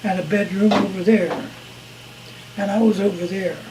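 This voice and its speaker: A man with a high voice speaks at a fairly slow pace with fairly even intonation. Noticeable background noise is present. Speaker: war veteran. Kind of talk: interview answer. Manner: casual, halting.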